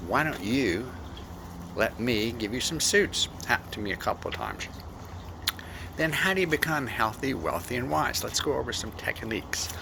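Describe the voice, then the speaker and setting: A man talks at a moderate pace with medium pitch, very wide pitch swings and long, frequent pauses. Noticeable background noise sits behind him. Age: 70s. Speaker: speaker giving advice on aging. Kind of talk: speech.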